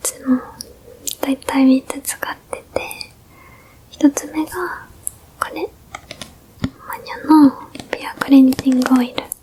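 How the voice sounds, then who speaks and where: Over noticeable background noise, a woman speaks in a high, gentle tone. Her pace is fairly slow. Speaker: ASMR creator doing a big-sister role-play. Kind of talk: ASMR role-play, skincare routine explained to a younger sibling. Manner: gentle, soft whispery, friendly.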